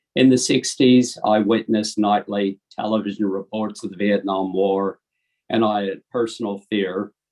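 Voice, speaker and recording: In an ordinary speaking voice, a man speaks at a fairly low pitch. His intonation is fairly even and his pace fairly slow. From Ohio, US; moved to Australia at nine. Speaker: dentist sharing faith story. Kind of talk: personal testimony.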